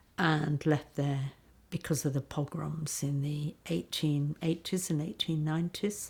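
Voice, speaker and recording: In a very clean recording with a silent background, a woman with a very deep, low pitch speaks at a fairly slow pace, somewhat breathy and dark, mellow in tone. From Yorkshire, northern England. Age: 70s. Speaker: daughter of a refugee. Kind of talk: testimony. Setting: interview in London. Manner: halting.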